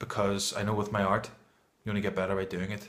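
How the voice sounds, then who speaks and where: Room echo is audible as a man talks at a fairly quick pace. His voice is fairly low in pitch, monotone and flat. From Northern Ireland. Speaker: amateur poetry reader and vlogger. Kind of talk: casual vlog talk; poetry reading. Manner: hesitant, with fillers.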